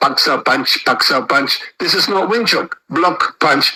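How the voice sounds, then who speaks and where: A man speaks in a raised, projected voice. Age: 60s. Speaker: martial arts teacher. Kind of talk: interview. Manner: animated.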